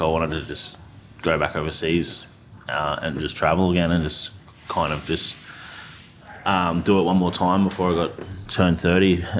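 With an Australian accent, a man speaks in a very deep, low, monotone voice at a fairly quick pace, yet with long, frequent pauses. Noticeable background noise runs underneath. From Australia, North Queensland (Tully). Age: young. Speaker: chef and restaurateur. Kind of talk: casual interview chat.

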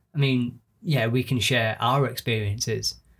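A man with a Yorkshire accent talks at a fairly slow pace. His voice is somewhat breathy and his intonation fairly even. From northern England (Yorkshire). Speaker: actor and podcast co-host. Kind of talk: casual chat. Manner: rambling.

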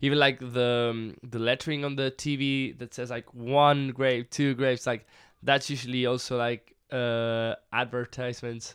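A man at a medium pitch and moderate pace, hardly any pauses, against a quiet background. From southern Spain. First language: Spanish. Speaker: musician. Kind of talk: casual chat. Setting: studio. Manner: animated.

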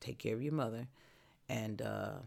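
A woman's fairly slow delivery. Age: 60s. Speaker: host's mother, former basketball coach. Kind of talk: casual chat.

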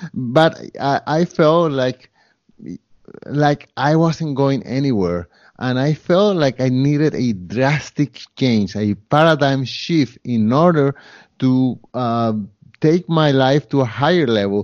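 Speaking at a very slow pace with a Spanish accent, a man uses a fairly high pitch and ordinary pitch variation. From Colombia. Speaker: photographer, real estate investor and podcaster. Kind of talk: interview. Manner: halting.

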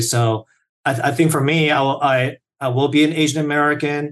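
The voice belongs to a man. It has a somewhat breathy quality. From South Korea. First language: Korean. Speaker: software engineer. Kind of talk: casual interview. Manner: enthusiastic, filler-heavy.

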